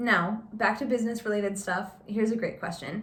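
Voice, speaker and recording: A woman with a Californian accent talks at a moderate pace amid noticeable background noise. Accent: Californian American. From California Central Coast, US. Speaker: bookshop owner. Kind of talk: casual chat.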